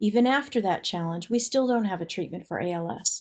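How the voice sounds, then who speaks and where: This woman has an unremarkable speaking voice at medium pitch, talking at a fairly quick pace with ordinary pitch variation over a quiet background. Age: 60s. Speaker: webinar presenter on kidney disease. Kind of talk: educational webinar presentation.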